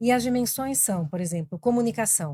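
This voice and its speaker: A woman's somewhat breathy voice, dark and mellow in tone, with ordinary pitch variation. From Brazil, Argentine family, also raised in Colombia. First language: Spanish (speaking Portuguese). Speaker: business executive. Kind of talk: podcast interview.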